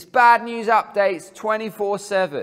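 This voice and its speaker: The background stays quiet while a man talks. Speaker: speaker. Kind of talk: sermon. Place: hall.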